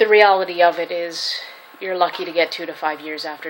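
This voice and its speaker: Over noticeable background noise, a woman talks at a fairly quick pace. Her fairly low pitch stays monotone and flat. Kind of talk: casual talk to camera. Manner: stuttering.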